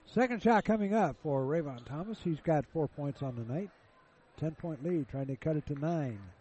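Upbeat and energetic, a somewhat breathy man with a fairly high pitch talks at a moderate pace with lively intonation. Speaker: radio play-by-play announcer. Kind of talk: live radio sports commentary. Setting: courtside broadcast at gym. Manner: upbeat, energetic.

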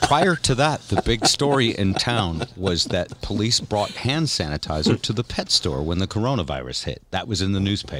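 With hardly any pauses, a man speaks in a fairly low pitch with vocal fry. His pitch swings are very wide. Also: moderate pace. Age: 60s. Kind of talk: casual chat.

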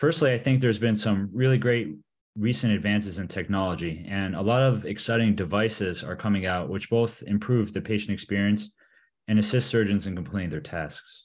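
A fairly low-pitched man with an American accent and an ordinary speaking voice, at a fairly quick pace with ordinary pitch variation, against a quiet background. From Michigan. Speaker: orthopedic surgeon and team physician. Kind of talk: interview.

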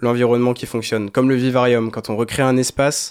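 A man's fairly quick, monotone delivery with flat intonation. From Brittany, near Saint-Malo. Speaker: dance student. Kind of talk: radio interview.

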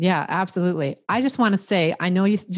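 Talking at a very fast pace, a woman with a Midwestern US accent holds a medium pitch. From US Midwest. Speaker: life coach and podcaster. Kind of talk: casual interview chat.

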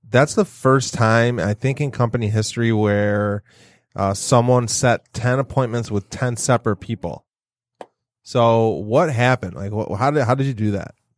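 A man with an unremarkable speaking voice talks at medium pitch and a moderate pace with ordinary pitch variation, the sound dry and close with no echo on a very clean recording with a silent background. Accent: American. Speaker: real estate agent, podcast co-host. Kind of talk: casual chat. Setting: studio.

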